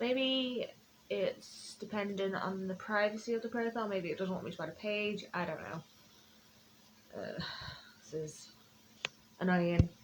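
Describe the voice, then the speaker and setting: With a Yorkshire accent, a woman speaks at a medium pitch with ordinary pitch variation, big swings in loudness and long, frequent pauses, over noticeable background noise. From northern England, Sheffield. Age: 20s. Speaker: author. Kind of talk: casual live stream chat. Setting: Facebook live stream at home. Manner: fast.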